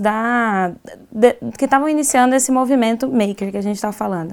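Fairly high-pitched female speech, moderately paced and with ordinary pitch variation. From Goiás, Brazil. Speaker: designer and maker educator. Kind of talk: casual chat. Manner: halting, repeats words.

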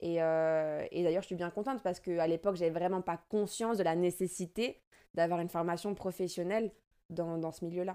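A woman with a dark, mellow tone speaks at a fairly low pitch with fairly even intonation. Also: fairly quick pace, very clean recording, silent background. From France. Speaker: DJ and dancer. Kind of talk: casual interview. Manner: halting, many hesitations.

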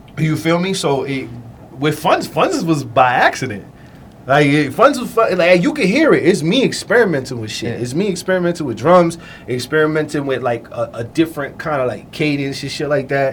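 A man's normal speaking voice with lively intonation at a fairly quick pace. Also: fairly high pitch for a man. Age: 30s. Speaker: music producer. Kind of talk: casual chat.

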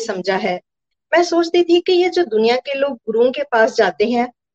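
The intonation is lively. The sound is dry and close with no echo. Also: woman. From Punjab, India (Gurdaspur). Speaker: math teacher. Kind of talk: testimony.

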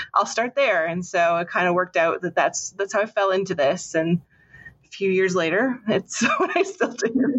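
A woman speaks in an ordinary speaking voice with a Canadian accent. Her pitch is medium with ordinary variation, at a moderate pace. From Canada. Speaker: political science professor. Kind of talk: interview.

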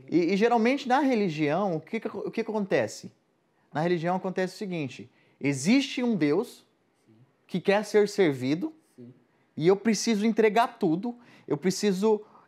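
Long, frequent pauses break up lively intonation at a moderate pace on a very clean recording with a silent background. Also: man, high pitch for a man. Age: 20s. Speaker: evangelical guest speaker. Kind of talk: casual faith conversation.

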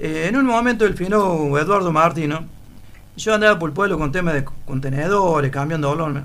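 Speech comes at a fairly quick pace with ordinary pitch variation. Room echo is audible. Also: man, fairly high pitch for a man. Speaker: former newspaper seller. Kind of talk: casual chat.

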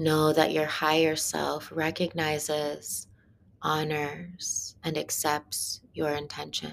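Speaking at a very slow pace, a woman has a very deep, low pitch. Her tone is calm and soothing. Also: ordinary pitch variation. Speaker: meditation guide. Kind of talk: guided meditation. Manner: slow, hushed, soothing; calm, rhythmic, with long pauses.

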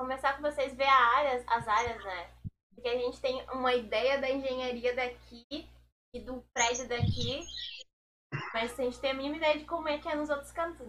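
A woman with a high pitch speaks in a raised, projected voice at a moderate pace. Her intonation stays fairly even, and her pauses are long and frequent. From Pernambuco and Pelotas, Brazil. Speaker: agricultural engineering student. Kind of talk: casual chat.

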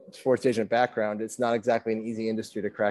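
A man's dark, mellow voice at a medium pitch. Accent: American. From Vermont, US. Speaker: personal trainer and men's coach. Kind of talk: casual chat.

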